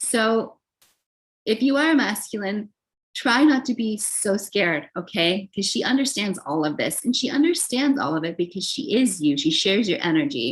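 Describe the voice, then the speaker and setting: A somewhat breathy woman's voice, fairly high in pitch, with very wide pitch swings at a moderate pace. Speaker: tarot reader. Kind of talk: tarot reading monologue. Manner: casual, filler-heavy.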